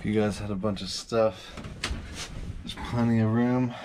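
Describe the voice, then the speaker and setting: Over noticeable background noise, a man speaks at a fairly slow pace with a fairly low pitch. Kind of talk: casual vlog chat. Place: boat. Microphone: phone near.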